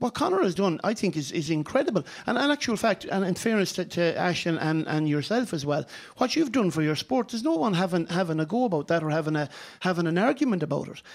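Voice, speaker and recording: Talking very fast, a man with a high voice keeps his intonation lively. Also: very clean recording, silent background. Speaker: sports broadcaster and former goalkeeper. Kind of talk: heated debate. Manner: emphatic, interrupting, fast.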